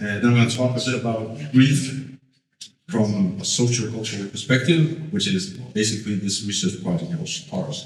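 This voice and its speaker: Heard with audible room echo, a man talks at a moderate pace with a medium pitch. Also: lively intonation. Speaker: sociologist. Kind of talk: lecture. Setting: stage with audience. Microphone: poor sound quality at the beginning.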